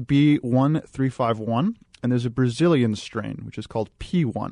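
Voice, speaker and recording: Over a quiet background, a man talks at a medium pitch in an ordinary speaking voice. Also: dry, close sound with no echo. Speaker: analytics company director. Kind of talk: talk radio discussion. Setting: studio. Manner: analytical.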